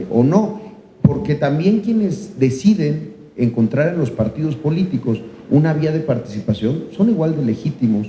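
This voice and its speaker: A man's voice sits fairly high and moves in very wide pitch swings. He talks at a fairly slow pace over noticeable background noise. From Mexico, Chiapas. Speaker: senator. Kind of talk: panel discussion. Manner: halting, many fillers.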